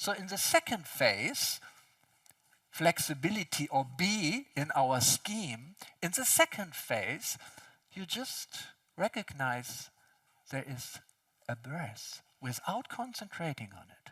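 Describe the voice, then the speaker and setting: At a very slow pace with long, frequent pauses, a man with a non-native accent speaks in a high pitch and a bright, sharp tone, his pitch swinging very widely and his loudness shifting greatly. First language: not English. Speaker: speaker on consciousness and physics. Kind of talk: conference talk.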